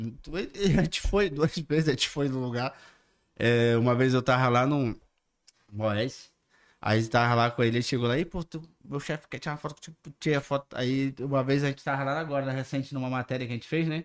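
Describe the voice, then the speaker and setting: Speaking with a northern Brazilian accent, a man talks at a fairly quick pace and medium pitch with ordinary pitch variation on a very clean recording with a silent background. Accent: northern Brazilian (Manaus) Portuguese. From Manaus, Brazil. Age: 30s. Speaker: digital content creator. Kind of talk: casual chat. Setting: podcast studio, livestream.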